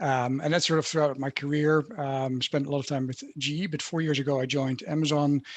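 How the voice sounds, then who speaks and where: Fairly high male voice with a Dutch accent and monotone, flat intonation. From Netherlands. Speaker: HR leader. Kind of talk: panel discussion. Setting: video call.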